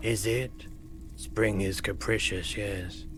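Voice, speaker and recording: A man puts on a character voice at a fairly low pitch. Clear background noise is present. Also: fairly slow pace. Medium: video game. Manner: polite, formal, slightly cryptic.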